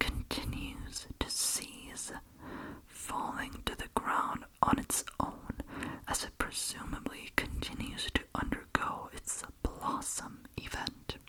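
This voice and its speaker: Whispering very slowly, the voice comes through over noticeable background noise. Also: woman. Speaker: ASMR creator and reader. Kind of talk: ASMR horror story reading.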